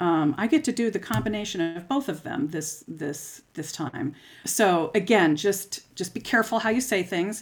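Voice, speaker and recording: Here a woman has an ordinary speaking voice with medium pitch and lively intonation. She keeps a moderate pace with hardly any pauses. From US, Florida (St. Petersburg). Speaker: clarinet professor. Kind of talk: interview.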